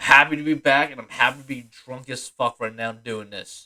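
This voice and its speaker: With a bright, sharp tone, a man speaks at a fairly slow pace, the sound dry and close with no echo. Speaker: podcast host. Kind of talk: casual monologue.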